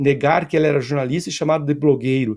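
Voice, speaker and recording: Very fast pace and a dark, mellow tone over a quiet background. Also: man. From Brazil. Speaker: professor, political commentator. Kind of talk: political commentary interview. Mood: critical, argumentative. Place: home room.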